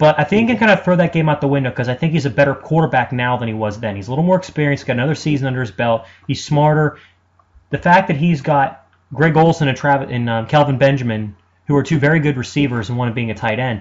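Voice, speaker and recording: Speaking at a very fast pace, a man has a fairly high pitch. His voice is somewhat breathy. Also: ordinary pitch variation. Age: 20s. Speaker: sports radio host. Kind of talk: sports talk monologue. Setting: web radio studio. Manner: animated.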